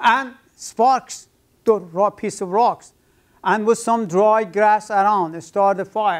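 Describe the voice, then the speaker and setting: A man's high-pitched voice at a very slow pace, with fairly even intonation and a quiet background. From Iran. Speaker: professor. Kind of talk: lecture. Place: classroom.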